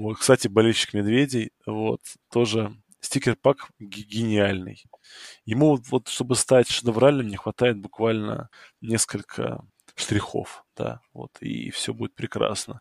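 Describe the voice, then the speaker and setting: A man with a fairly low pitch speaks at a very slow pace with fairly even intonation and big swings in loudness. The sound is dry and close, with no echo. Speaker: fantasy football podcast host. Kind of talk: casual chat.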